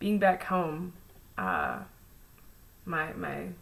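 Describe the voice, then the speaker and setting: Audible room echo around a woman talking at a very slow rate. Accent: American. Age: 20s. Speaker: vlogger. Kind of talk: personal vlog monologue. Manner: many fillers, hesitant.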